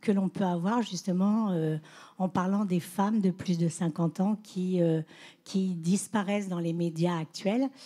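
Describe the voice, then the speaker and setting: A woman speaks at a fairly slow pace in a medium pitch, her tone dark and mellow and somewhat breathy, with ordinary pitch variation on a very clean recording with a silent background. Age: 60s. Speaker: social media influencer. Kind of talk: panel discussion.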